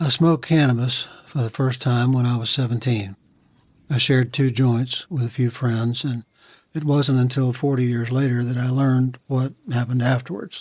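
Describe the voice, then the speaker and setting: With an American accent, a man uses an ordinary speaking voice at a medium pitch, a moderate pace and fairly even intonation. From Virginia, US South. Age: 60s. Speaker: war veteran. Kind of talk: testimony.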